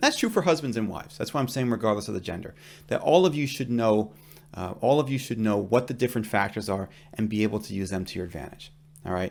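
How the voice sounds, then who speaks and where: A man's medium-pitched voice at a very fast pace, lively in intonation, on a very clean recording with a silent background. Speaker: divorce lawyer. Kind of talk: legal explainer video. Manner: conversational, emphatic.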